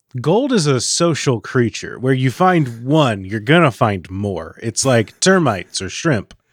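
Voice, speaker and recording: On a very clean recording with a silent background, a man at medium pitch speaks at a fairly slow pace with hardly any pauses and very wide pitch swings. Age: 30s. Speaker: podcast co-host. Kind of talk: casual banter.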